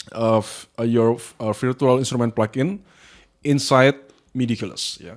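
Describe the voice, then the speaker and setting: Here a man speaks with a non-native accent. His pitch is medium. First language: not English. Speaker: music software tutorial maker. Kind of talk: tutorial. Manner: halting, many fillers.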